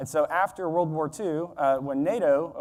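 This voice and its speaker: In an American accent, a man with a fairly high pitch and an unremarkable speaking voice talks at a moderate pace on a very clean recording with a silent background. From United States. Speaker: conference speaker on defence technology. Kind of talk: conference keynote speech. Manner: conversational, with filler words.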